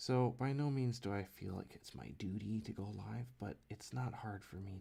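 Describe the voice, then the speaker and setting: Quiet and somewhat breathy, a man speaks in a dark, mellow tone with ordinary pitch variation. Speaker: comic artist live streamer. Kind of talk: casual live stream chat while drawing. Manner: quiet, low; halting. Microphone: too quiet, mic turned up.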